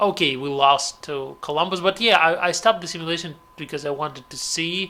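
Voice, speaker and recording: A man with a Russian accent speaks at a moderate pace in a high voice, his pitch varying an ordinary amount. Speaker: gaming commentator. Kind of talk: gameplay commentary. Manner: halting.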